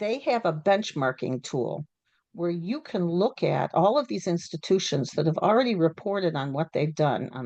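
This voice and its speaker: Her intonation is lively over a fairly low pitch. This woman is heard against a quiet background. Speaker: panelist on sustainability in higher education. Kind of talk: panel discussion. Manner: fast.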